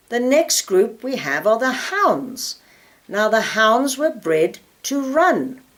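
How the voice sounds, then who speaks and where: The voice moves very slowly, with vocal fry and very wide pitch swings. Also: woman. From South Africa. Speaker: dog breed expert. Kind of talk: informal talk on dog breeds.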